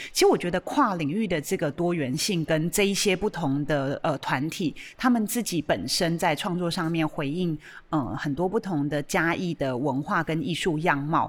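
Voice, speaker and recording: At a moderate pace, a woman with a Taiwanese accent talks at a fairly low pitch with ordinary pitch variation, recorded very cleanly against a silent background. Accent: Taiwanese Mandarin. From Taiwan, Chiayi. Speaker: art museum director hosting a radio show. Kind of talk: hosted radio discussion. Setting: radio studio. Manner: hesitant, many fillers.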